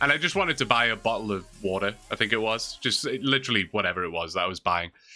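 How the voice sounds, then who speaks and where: A very fast, bright, sharp voice in a Geordie accent with lively intonation, in a very clean recording with a silent background. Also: man, medium pitch for a man. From northern England, near Newcastle. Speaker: streamer. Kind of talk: casual chat. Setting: live stream.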